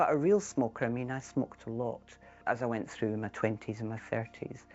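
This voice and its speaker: This voice has a Scottish accent and moves at a fairly quick pace. Its pitch varies in an ordinary way. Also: woman, very deep, low pitch for a woman. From Scotland, Edinburgh. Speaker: ex-smoker sharing her story. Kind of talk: personal testimony.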